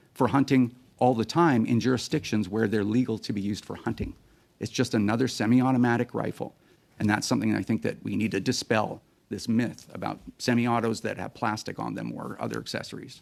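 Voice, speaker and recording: This man talks at a fairly quick pace in a medium pitch. His voice has vocal fry and ordinary pitch variation. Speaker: firearms advocacy group executive. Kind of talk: parliamentary committee testimony. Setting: Senate committee hearing room. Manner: fast.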